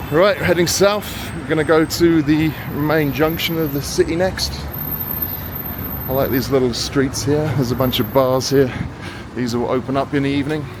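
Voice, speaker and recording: A man with a British accent talks at a moderate pace in a fairly high pitch, leaving long, frequent pauses. Noticeable background noise is present. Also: ordinary pitch variation. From Britain. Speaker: travel vlogger. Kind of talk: walking tour commentary. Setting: outdoors. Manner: casual, conversational.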